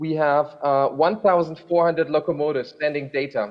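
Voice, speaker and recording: A man speaks at a moderate pace with an unremarkable speaking voice. His pitch is fairly high and his intonation fairly even. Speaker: rail freight program manager. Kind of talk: panel discussion. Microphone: hears own audio echo.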